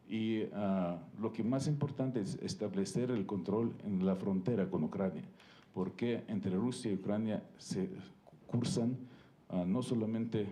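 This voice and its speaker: A man's fairly low, dark, mellow voice at a fairly slow pace, with ordinary pitch variation. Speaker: ambassador. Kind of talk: panel talk. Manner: halting, many fillers.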